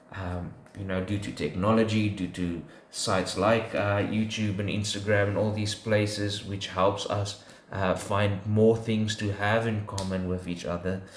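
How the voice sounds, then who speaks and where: Against audible room echo, a man speaks at a fairly low pitch. His intonation is monotone and flat. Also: fairly slow pace. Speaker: podcast co-host. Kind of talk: casual faith discussion. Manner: halting, many fillers.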